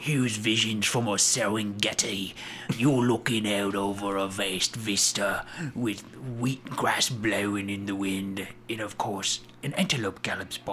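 A man uses a put-on character voice, fairly low in pitch with fairly even intonation. He keeps a moderate pace over clear background noise. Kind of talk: slow, descriptive narration. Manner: calm, soothing.

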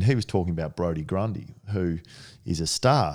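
This man speaks in an Australian accent at a moderate pace, his pitch very deep and low with ordinary variation. His tone is dark and mellow, and the recording is very clean with a silent background. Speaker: sports management CEO, former footballer. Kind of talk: casual interview.

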